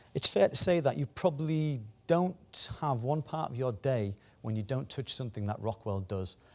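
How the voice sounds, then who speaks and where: A man speaks with a Teesside accent in a medium pitch. His intonation is lively and his pace moderate. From northeast England, Teesside (Stockton-on-Tees). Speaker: technology executive, conference speaker. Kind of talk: conference talk. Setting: business conference, live and online. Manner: hesitant, many fillers and repetitions.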